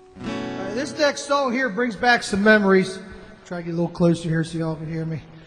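Faint background music accompanies the clip. The man on it speaks very fast. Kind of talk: song introduction to audience. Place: cafe.

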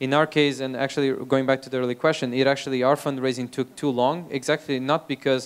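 Speaking in a Portuguese accent, a man talks very fast at a medium pitch. His intonation is monotone and flat. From Portugal. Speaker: startup founder and CEO; speaker. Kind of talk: talk to audience. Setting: stage with audience. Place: hall. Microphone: handheld.

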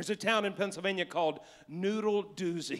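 Against a quiet background, a man talks at a fairly quick pace in an animated, bright and sharp tone. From West Virginia. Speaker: pastor. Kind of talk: sermon. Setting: church live stream. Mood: playful, joking. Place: church. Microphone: handheld.

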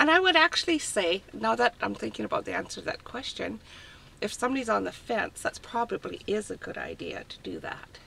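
A woman talks at a fairly quick pace. Her loudness swings widely. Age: 60s. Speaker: retiree living in a van. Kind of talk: casual interview. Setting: inside a parked van.

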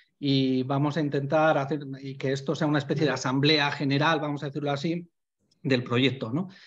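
A somewhat breathy man, fairly high in pitch and fairly quick, with monotone, flat intonation against a quiet background. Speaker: animal welfare association member; presenter. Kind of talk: online panel talk. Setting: video call. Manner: fast. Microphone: video call.

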